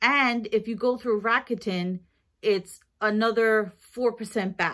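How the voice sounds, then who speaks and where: A woman talks very slowly, with little noise behind her. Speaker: vlogger. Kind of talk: casual haul vlog chat. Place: kitchen. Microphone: phone near.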